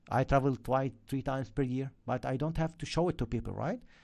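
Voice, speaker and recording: In an Arabic accent, someone speaks at a very fast pace against a quiet background. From Lebanon. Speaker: forex trading educator. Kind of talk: live stream chat. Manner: animated.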